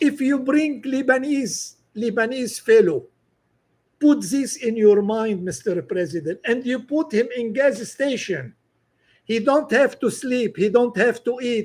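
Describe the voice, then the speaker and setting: Extremely high in pitch, a man speaks at a fairly slow pace on a very clean recording with a silent background. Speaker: political commentator. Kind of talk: open-letter monologue. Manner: halting.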